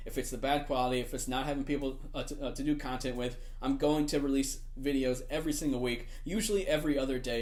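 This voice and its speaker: His speech rushes by at a very fast clip, its pitch rising and falling in an ordinary way. This man's voice carries audible room echo. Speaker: gaming YouTuber. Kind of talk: casual vlog talk. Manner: frequent filler words, hesitant.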